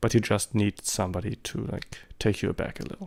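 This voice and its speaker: In a very clean recording with a silent background, a man with a German accent speaks at a fairly low pitch with vocal fry. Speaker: amateur photographer, vlogger. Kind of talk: vlog monologue. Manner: hesitant, many fillers.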